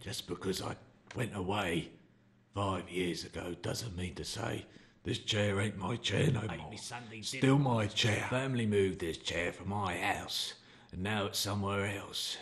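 A man puts on a cartoonish character voice. It sits fairly low and moves at a moderate pace. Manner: gruff, resentful.

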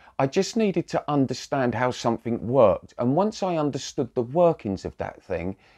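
Over a quiet background, a man's voice moves through very wide pitch swings. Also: moderate pace. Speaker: spiritual coach. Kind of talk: casual vlog talk. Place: home room. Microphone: lapel.

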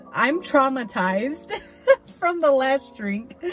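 Faint music sits in the background as a woman with a high pitch speaks at a fairly slow pace, the sound dry with no echo. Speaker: drink reviewer. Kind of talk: casual vlog chat. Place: car. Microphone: phone near.

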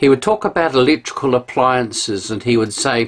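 A man speaks with lively intonation in a New Zealand accent. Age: 60s. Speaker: pastor. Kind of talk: sermon. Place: home room. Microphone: camera far.

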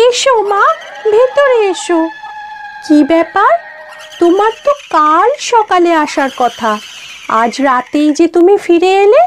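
In a cartoonish character voice, a female-sounding speaker talks at a fairly slow pace in an extremely high pitch over clear background noise.

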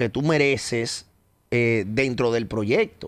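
A man at a fairly slow pace. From Dominican Republic. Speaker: radio host. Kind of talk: interview. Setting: studio. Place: studio. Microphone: studio mic.

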